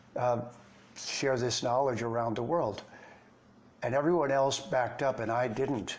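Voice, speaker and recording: This man has a medium pitch and an American accent, talking at a moderate pace with long, frequent pauses. His loudness stays very even, his intonation fairly even, and audible room echo is present. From Detroit, Michigan, US. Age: 70s. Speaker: Vedic scholar and teacher. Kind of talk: interview conversation.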